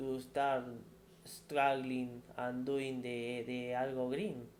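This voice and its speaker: In a room with audible echo, a man speaks at a very slow pace in a medium pitch. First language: not English. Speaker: tech career YouTuber. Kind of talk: casual monologue answering viewer questions. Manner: halting, many repetitions.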